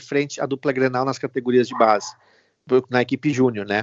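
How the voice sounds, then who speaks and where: This is a male speaker. The rise and fall of his pitch is ordinary. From Rio Grande do Sul, Brazil (Venâncio Aires). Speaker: TV sports reporter, former youth footballer. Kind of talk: casual interview. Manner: halting, many fillers.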